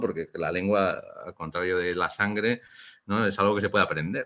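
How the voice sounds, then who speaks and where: A man's voice pitched fairly low. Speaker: Basque-language writer. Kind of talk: interview conversation. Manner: hesitant, repeats words.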